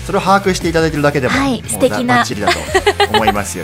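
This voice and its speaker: Over background music, a man with a fairly high voice talks very fast, his pitch swinging very widely. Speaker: radio host, staff member. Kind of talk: radio talk show host, casual chat.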